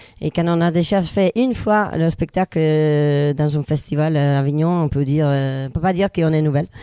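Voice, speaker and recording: A woman with a very deep, low pitch and a dark, mellow tone speaks at a moderate pace with ordinary pitch variation and very even loudness, in a dry, close sound with no echo. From northern Italy. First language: Italian (speaking French). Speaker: comedian. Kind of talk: casual chat.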